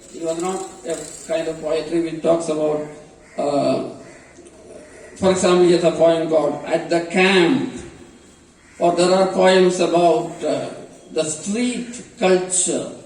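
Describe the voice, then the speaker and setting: The delivery is fairly slow, with long pauses coming often and a fairly even intonation. Noticeable background noise and audible room echo surround the voice. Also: man, high pitch for a man. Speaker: professor. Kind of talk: lecture. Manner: halting, many fillers.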